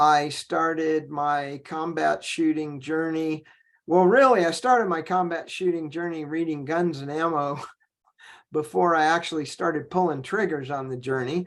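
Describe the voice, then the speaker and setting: A fairly high-pitched man's voice with an American accent, at a moderate pace. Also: ordinary pitch variation. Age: 60s. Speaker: firearms trainer and consultant. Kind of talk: podcast interview. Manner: hesitant, many fillers.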